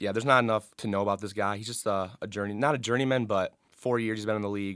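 In a very clean recording with a silent background, a man with a fairly low pitch uses an ordinary speaking voice and fairly even intonation. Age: 20s. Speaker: student sports editor. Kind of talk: casual chat. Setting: studio.

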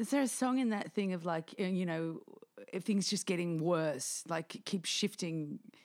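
An Australian accent comes through at a moderate pace with ordinary pitch variation. The recording is very clean, with a silent background. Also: woman, fairly low pitch for a woman. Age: 40s. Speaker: podcast host and singer-comedian. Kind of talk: casual chat.

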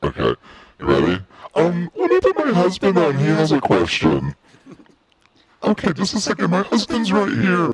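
Putting on a character voice pitched high for a man, he talks at a moderate pace broken by long, frequent pauses.

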